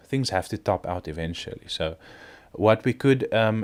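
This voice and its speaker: A man with a non-native accent speaks at a moderate pace with ordinary pitch variation on a very clean recording with a silent background. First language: not English. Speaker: crypto video creator. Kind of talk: casual market commentary. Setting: at home. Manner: hesitant, many fillers.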